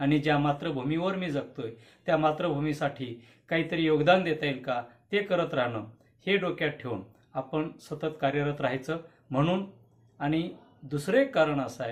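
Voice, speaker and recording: Fairly high in pitch, a man with a plain, everyday voice speaks with ordinary pitch variation. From Karnataka border region, Bidar district (Marathi-speaking village). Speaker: poet and literary activist. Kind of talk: prepared video statement.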